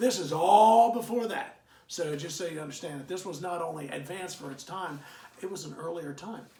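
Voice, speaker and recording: Someone talks at a fairly quick pace with ordinary pitch variation. The recording has audible room echo and noticeable background noise. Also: man, high pitch for a man. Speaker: history teacher. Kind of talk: lecture. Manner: fast; halting, many fillers.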